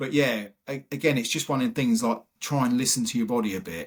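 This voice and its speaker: A man speaks at a fairly quick pace with an English accent, his pitch medium and its variation ordinary. The recording is very clean, with a silent background. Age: 50s. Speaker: retired firefighter and bodybuilder. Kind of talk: podcast interview.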